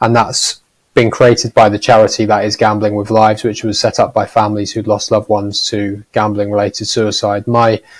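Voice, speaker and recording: A man with a Norfolk accent, fairly low-pitched and somewhat breathy, with monotone, flat intonation at a fairly quick pace, on a very clean recording with a silent background. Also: hardly any pauses. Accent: Norfolk accent, noticeable. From Norfolk, eastern England. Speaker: gambling harm charity leader. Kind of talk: panel discussion.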